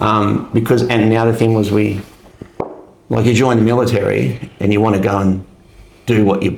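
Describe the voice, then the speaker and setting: With an Australian accent, a man speaks at a moderate pace and fairly low pitch, his intonation fairly even. Audible room echo and noticeable background noise fill the recording. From Australia, Melbourne. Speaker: army veteran. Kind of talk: casual interview chat. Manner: hesitant, many fillers.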